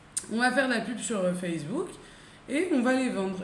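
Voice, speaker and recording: In a room with audible echo and noticeable background noise, a woman talks at a moderate pace with ordinary pitch variation. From France. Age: 30s. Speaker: entrepreneur. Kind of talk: casual chat.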